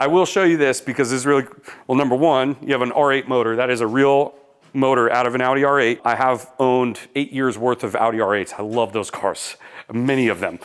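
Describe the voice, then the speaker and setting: A man's medium-pitched voice, fairly quick and fairly even in intonation, with very even loudness. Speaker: car enthusiast vlogger and property developer. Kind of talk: casual vlog tour. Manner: fast.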